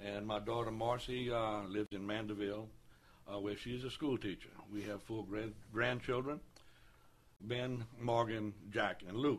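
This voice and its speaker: A man with a Southern Louisiana accent speaks at a moderate pace, fairly low in pitch with fairly even intonation. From Louisiana, New Roads. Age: 60s. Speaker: city council candidate. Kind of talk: radio interview. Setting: studio.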